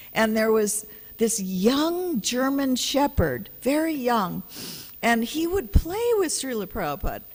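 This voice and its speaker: At a moderate pace, the woman speaks with pitch that swings very widely. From Hawaii. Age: 70s. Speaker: spiritual teacher. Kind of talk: religious lecture. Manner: conversational.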